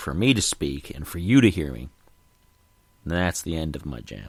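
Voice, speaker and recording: This man's voice is very deep and low, with vocal fry, and he speaks at a moderate pace. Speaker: podcast host. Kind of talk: solo podcast monologue. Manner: halting.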